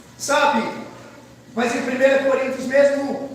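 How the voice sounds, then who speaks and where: There is noticeable background noise and audible room echo as a man speaks at an extremely high pitch. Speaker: pastor. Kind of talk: sermon.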